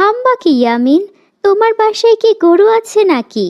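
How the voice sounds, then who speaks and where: A squeaky, cartoonish character voice, female-sounding and extremely high, at a moderate pace. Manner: sweet, coaxing.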